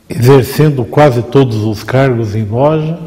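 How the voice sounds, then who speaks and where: Audible room echo sits alongside noticeable background noise in this recording. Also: man. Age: 60s. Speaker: freemason lodge leader. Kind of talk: interview. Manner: formal.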